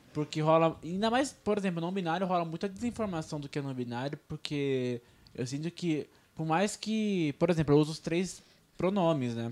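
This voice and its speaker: Lively intonation from a man with a plain, everyday voice at fairly high pitch, at a moderate pace on a very clean recording with a silent background. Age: 20s. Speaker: podcast co-host. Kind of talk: casual chat. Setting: radio studio.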